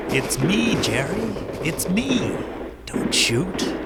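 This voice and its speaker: Someone performs a put-on character voice at a very slow pace over loud background noise. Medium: old radio play.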